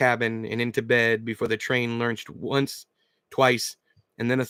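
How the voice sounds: The speaker has a natural reading voice. The background is quiet.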